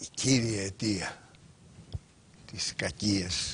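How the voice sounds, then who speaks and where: Light background noise sits behind the speech. The speaker is a man with a fairly low pitch. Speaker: guest. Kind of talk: interview answer. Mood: earnest, reflective. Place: studio. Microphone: lapel.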